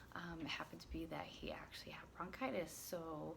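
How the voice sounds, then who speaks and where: Audible room echo around a woman speaking at a moderate pace in a fairly low voice. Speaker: parenting vlogger. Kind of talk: casual vlog. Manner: hesitant, many fillers.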